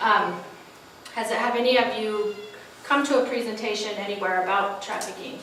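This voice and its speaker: With audible room echo and noticeable background noise, a woman speaks at a moderate pace in a fairly high pitch with fairly even intonation. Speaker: social worker giving a presentation. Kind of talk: presentation to an audience.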